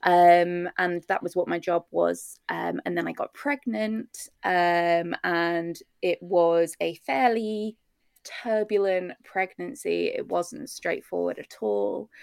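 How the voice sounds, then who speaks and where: A woman with a British accent at a very slow pace, in a dry, close sound with no echo. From UK. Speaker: maternal mental health therapist. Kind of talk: interview.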